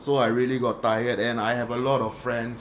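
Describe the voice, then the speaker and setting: The man's medium pitch comes through noticeable background noise. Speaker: podcast host. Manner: fillers, hesitant.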